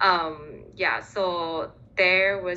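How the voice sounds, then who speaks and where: With a Chinese accent, a woman speaks in a bright, sharp tone at a fairly low pitch. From Singapore. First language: Mandarin Chinese. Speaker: recent graduate in international development. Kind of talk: interview. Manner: frequent fillers, hesitant.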